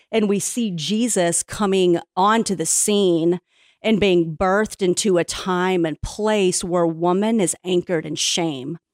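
A woman with a normal speaking voice talks fairly slowly in a medium pitch with fairly even intonation, the sound dry and close with no echo on a very clean recording with a silent background. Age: 40s. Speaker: Bible teacher. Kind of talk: podcast interview.

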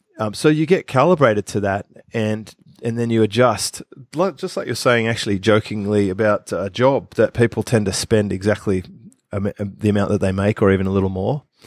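The recording is very clean with a silent background. A man with an Australian accent talks at a fairly quick pace and fairly low pitch, using ordinary pitch variation. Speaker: business expert podcast co-host. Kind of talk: casual chat.

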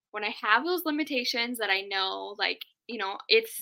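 At a moderate pace, a woman speaks with a Minnesota accent. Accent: Upper Midwest (Minnesota) American. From Duluth, Minnesota, US Upper Midwest. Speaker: tech virtual assistant, business owner. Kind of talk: casual chat.

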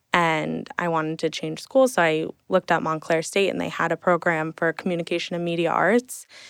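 A plain, everyday voice moves at a fairly quick pace with hardly any pauses and ordinary pitch variation, caught in a dry, close sound with no echo on a very clean recording with a silent background. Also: woman, fairly low pitch for a woman. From central New Jersey, Hunterdon County. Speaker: social media coordinator. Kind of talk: casual interview. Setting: studio, in person.

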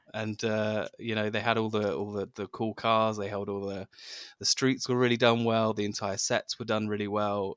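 Over a dry, close sound with no echo, a man with an English accent speaks at a moderate pace and fairly low pitch in a monotone, flat delivery. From England. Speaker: podcast host. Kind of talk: casual chat. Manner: halting, many fillers and repetitions.

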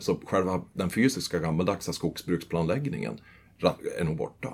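At a fairly quick pace, a man with a very deep, low pitch and vocal fry talks with very wide pitch swings. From Sweden, northern Västmanland. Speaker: forestry and tax advisor. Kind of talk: interview.

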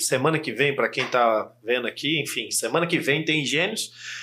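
The tone is bright and sharp. The pace is moderate, with hardly any pauses. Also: man. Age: 40s. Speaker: podcast host and copywriting trainer. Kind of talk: casual interview chat.

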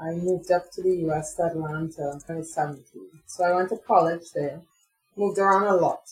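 A woman with an American accent talks at a fairly quick pace. Her pitch is fairly low and her intonation fairly even. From Trinidad and Tobago. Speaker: chocolate maker and activist. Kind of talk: interview. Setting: video call.

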